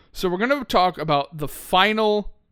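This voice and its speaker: A man raises and projects his high-pitched voice, his tone bright, sharp and animated. The recording is very clean with a silent background. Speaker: gaming streamer.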